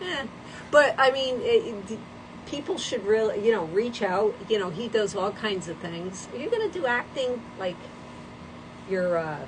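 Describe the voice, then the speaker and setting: Noticeable background noise sits behind a woman whose lively intonation is broken by long, frequent pauses. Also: fairly high pitch for a woman, moderate pace. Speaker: livestream host. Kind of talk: casual chat. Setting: livestream.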